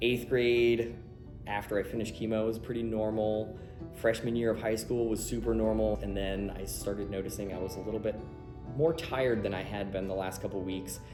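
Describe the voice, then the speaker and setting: Music plays in the background as a man speaks in a fairly low voice. His pace is fairly quick and his intonation fairly even. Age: 30s. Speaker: nurse. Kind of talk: interview answer. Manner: casual.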